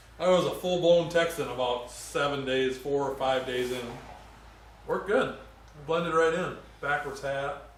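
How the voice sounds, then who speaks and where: A fairly high-pitched man at a moderate pace, ordinary pitch variation, long and frequent pauses, with audible room echo and noticeable background noise. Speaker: mechanic. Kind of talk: casual chat.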